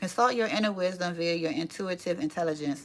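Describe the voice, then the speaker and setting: A woman talks at a fairly quick pace with a fairly low pitch. Her pitch variation is ordinary. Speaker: cartomancy reader and channel host. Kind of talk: reading aloud from a book with commentary. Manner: fast; casual asides.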